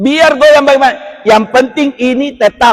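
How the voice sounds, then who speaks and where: In a dry, close sound with no echo, a man speaks in an animated tone. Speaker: Islamic preacher. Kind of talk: religious lecture. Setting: mosque. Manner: loud.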